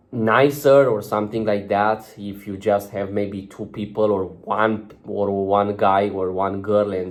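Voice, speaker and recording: A non-native accent with monotone, flat intonation. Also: man. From outside UK and America. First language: not English. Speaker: self-improvement vlogger. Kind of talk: casual vlog monologue. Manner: halting, many fillers.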